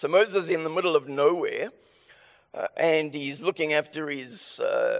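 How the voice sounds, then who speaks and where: A man with a South African accent speaks at a fairly slow pace. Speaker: preacher. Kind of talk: sermon. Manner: deliberately slower; halting, with stammered restarts.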